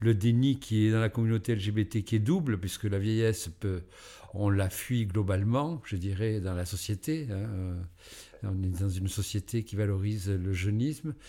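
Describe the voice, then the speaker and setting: Fairly low, dark, mellow male voice at a fairly slow pace, with ordinary pitch variation. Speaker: association founder. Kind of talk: interview. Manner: halting.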